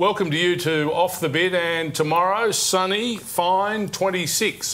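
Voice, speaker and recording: A high-pitched male voice with an Australian accent, very even loudness, a bright, sharp tone, and a very slow pace. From Australia, Deniliquin NSW; New South Wales, Australia. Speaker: horse racing TV show host. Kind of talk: TV sports magazine show presenting. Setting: TV studio. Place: studio. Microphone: lapel.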